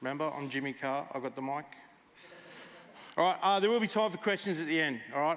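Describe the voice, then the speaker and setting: Lively intonation runs through this man's speech in an Australian accent. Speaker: military veteran and gamer presenter. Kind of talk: conference talk. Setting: stage with audience. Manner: loud; casual, interactive.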